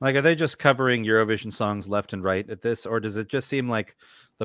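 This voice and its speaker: A man with an American accent speaks at a fairly quick pace in an unremarkable speaking voice, medium in pitch with ordinary pitch variation. The recording is very clean with a silent background and a dry, close sound with no echo. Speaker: podcast co-host. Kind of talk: casual chat.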